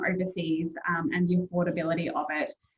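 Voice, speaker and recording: This is a woman with an Australian accent. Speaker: university admissions representative. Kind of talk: informal presentation.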